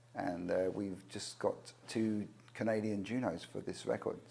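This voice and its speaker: A man talks with an English accent in a dark, mellow tone. His pitch sits fairly low, and his intonation stays fairly even. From England. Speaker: record producer, singer-songwriter. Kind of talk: interview. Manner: hesitant, many fillers.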